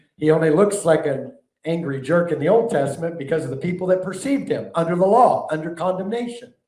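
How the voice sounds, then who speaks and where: In a room with audible echo, a man talks very fast with a fairly high pitch and a dark, mellow tone. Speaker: preacher and teacher. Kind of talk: sermon-style teaching.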